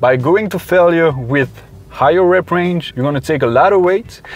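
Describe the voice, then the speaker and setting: Noticeable background noise accompanies a man speaking fairly quickly, his pitch varying in an ordinary way. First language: not English. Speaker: fitness youtuber and personal trainer. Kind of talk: tutorial; vlog. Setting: gym. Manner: casual, conversational.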